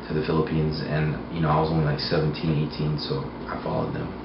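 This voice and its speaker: A man with a very deep, low pitch talks at a fairly quick pace. Noticeable background noise and audible room echo fill the recording. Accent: American. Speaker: interviewee. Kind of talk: interview. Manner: hesitant, many fillers.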